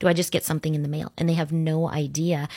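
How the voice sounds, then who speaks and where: A woman's very deep, low voice with an American accent, dry and close with no echo, on a very clean recording over a silent background. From Orlando, Florida. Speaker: local political candidate. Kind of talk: interview. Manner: hesitant, many fillers.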